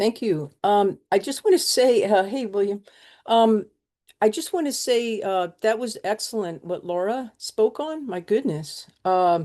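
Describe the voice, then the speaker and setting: A woman's fairly high voice, fairly slow, with lively intonation, a dark, mellow tone and a quiet background. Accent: American. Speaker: mutual aid volunteer. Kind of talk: webinar talk. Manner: reading from notes.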